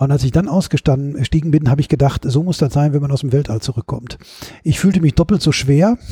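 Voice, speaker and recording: Despite noticeable background noise, the dry, close sound with no echo carries a man speaking at a fairly high pitch and a fairly quick pace, with ordinary pitch variation. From Ruhr area, Bochum. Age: 50s. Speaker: author and stage performer. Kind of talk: casual interview. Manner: hesitant, many fillers.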